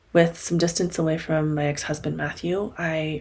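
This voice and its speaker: A woman's very deep, low, somewhat breathy voice, calm in tone, with ordinary pitch variation. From Korean-American family, English-speaking upbringing. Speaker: podcast host and coach. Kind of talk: solo podcast monologue. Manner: reflective, calm.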